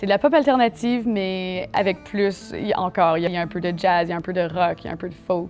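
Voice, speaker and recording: Over music in the background, a woman talks at a medium pitch and a fairly quick pace with hardly any pauses. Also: ordinary pitch variation. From Manitoba, Canada. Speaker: singer, alternative pop artist. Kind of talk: interview answer.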